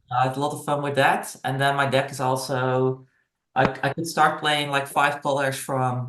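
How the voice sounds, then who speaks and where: A man's fairly high voice with a Dutch accent, at a moderate pace. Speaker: gamer. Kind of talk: casual chat. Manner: halting.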